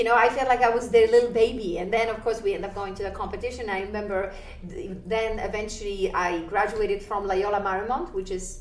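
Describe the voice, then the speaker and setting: Speaking at a fairly quick pace with a Polish accent, a woman uses fairly high pitch and ordinary pitch variation, with noticeable background noise and audible room echo. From Poland. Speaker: ballroom dancer and dance teacher. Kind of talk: interview. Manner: animated.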